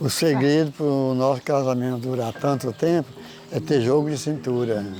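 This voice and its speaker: Noticeable background noise sits behind this man's voice. He keeps a moderate pace, a medium pitch and ordinary pitch variation. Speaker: retired pharmacy owner. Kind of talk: oral history interview.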